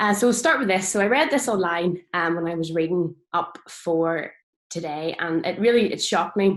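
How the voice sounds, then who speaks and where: With a Northern Irish accent, a woman speaks at a moderate pace and medium pitch, with ordinary pitch variation. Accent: Northern Irish, noticeable. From Northern Ireland. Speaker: farmer and social media speaker. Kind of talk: presentation talk. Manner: hesitant, many fillers.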